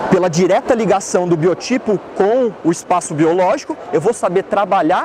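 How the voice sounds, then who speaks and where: A high-pitched man's voice at a moderate pace and very even loudness, with noticeable background noise. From Santa Catarina, Brazil (Blumenau). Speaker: dentist. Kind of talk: lecture. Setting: trade fair stand with audience.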